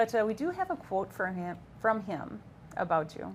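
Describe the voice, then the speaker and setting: At a moderate pace, the speaker talks in a somewhat breathy voice. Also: woman. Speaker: talk show co-host. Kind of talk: talk show interview. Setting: studio. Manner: stuttering.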